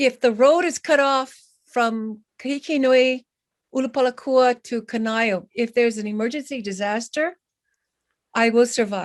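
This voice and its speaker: A woman speaks at a high pitch with ordinary pitch variation, leaving long, frequent pauses. The sound is dry and close, with no echo. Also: moderate pace. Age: 70s. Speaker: community member. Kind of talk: public meeting comment. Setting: video call. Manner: halting.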